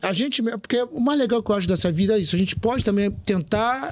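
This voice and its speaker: Talking very fast, a man with a high pitch uses lively intonation. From Rio de Janeiro. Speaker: DJ, journalist and master of ceremonies. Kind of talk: podcast interview answer.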